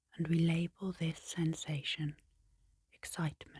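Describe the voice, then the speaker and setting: A woman with a fairly low pitch speaks at a fairly slow pace in a calm tone, somewhat breathy. Her intonation is monotone and flat, and the sound is dry and close with no echo. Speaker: hypnotherapist and clinical psychologist. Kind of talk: ASMR sleep hypnosis narration. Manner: soft-spoken, calm, slow.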